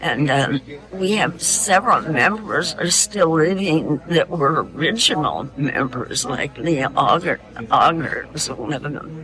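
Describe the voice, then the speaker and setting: A fairly slow pace with music in the background. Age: 80s+. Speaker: veterans group member. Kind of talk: documentary interview.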